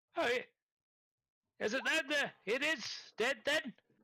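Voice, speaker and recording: Putting on a character voice, a man talks with an extremely high pitch at a moderate speed. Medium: actual play. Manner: hesitant, fussy.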